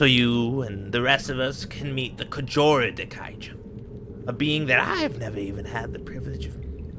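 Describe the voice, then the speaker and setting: A man puts on a character voice with a pompous tone, and clear background noise is heard behind him. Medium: actual play. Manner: pompous, rambling.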